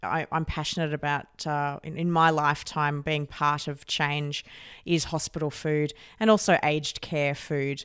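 In an Australian accent, a woman with a very deep, low pitch talks at a moderate pace with fairly even intonation on a very clean recording with a silent background. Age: 30s. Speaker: podcast host. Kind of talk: interview.

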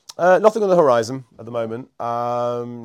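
Very clean with a silent background, the recording has a man with a Yorkshire accent talking at a fairly quick pace, medium in pitch with ordinary pitch variation. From northern England, Scarborough. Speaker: ghost tour guide and operator. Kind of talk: casual chat. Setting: office.

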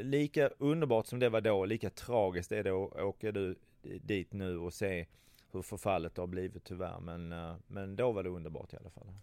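A man speaks with a Scanian accent and ordinary pitch variation. The recording is very clean and dry, close-miked with no echo and a silent background. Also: fairly low pitch for a man, moderate pace. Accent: Skåne dialect. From southern Sweden, Skåne. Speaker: travel industry entrepreneur. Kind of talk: interview. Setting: office meeting room. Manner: halting, many fillers and repetitions.

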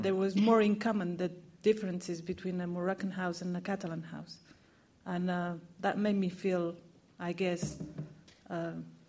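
A woman speaks at a medium pitch and a moderate pace, her voice somewhat breathy. Her intonation stays monotone and flat. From Morocco, raised in Catalonia from age eight. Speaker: novelist. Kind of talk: panel discussion. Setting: bookshop event with audience.

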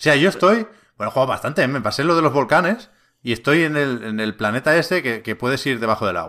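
Very fast speech in a bright, sharp tone with very wide pitch swings, on a very clean recording with a silent background. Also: man, fairly high pitch for a man. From Catalonia, Spain (Tiana, near Barcelona). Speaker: video game podcast host. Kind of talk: casual chat. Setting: studio, livestreamed on Twitch.

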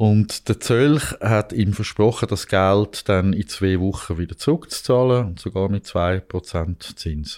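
Very slow speech from a man with a fairly low pitch, in a dry, close sound with no echo. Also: ordinary pitch variation. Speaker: investigative journalist. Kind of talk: conversational storytelling. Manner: hesitant with fillers.

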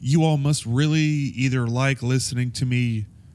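Fairly slow male speech with fairly even intonation. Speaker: podcast host. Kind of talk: casual monologue. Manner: rambling with many fillers.

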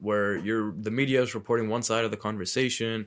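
With an American accent and an unremarkable speaking voice, a man talks at a fairly quick pace in a medium pitch on a very clean recording with a silent background. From US Northeast, Medford, Massachusetts. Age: 20s. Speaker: podcast guest, Palestinian American. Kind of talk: casual chat. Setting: studio.

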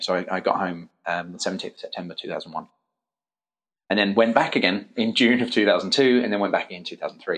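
This man talks at a fairly quick pace. He speaks with an English accent. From England. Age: 30s. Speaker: parkour academy founder. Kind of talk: interview. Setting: at guest's academy.

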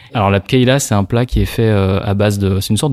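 Fairly quick and fairly even in intonation, a man with a fairly low pitch and an unremarkable speaking voice comes through with a dry, close sound with no echo. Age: 30s. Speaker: lawyer. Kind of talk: casual interview conversation.

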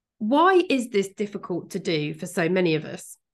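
Against a quiet background, a woman talks at medium pitch in a British accent. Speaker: podcast co-host and coach. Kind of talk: casual chat podcast discussion. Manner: light-hearted, laughs often.

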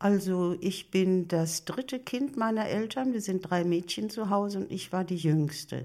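With hardly any pauses, a woman at medium pitch talks in a dark, mellow tone with ordinary pitch variation, recorded very cleanly against a silent background. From Germany, Ruhr area (Bochum). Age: 80s+. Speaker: elderly woman sharing life story. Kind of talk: interview.

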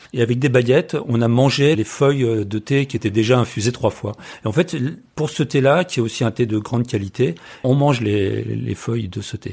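Vocal fry runs through this moderately paced voice on a very clean recording with a silent background. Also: man, medium pitch for a man, ordinary pitch variation. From France. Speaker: travel photographer and author. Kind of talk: casual chat. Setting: at home. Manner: halting.

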